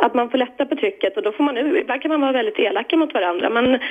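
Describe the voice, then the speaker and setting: Over noticeable background noise, a woman talks at a very fast pace in a high pitch with very wide pitch swings. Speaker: caller. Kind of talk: casual chat.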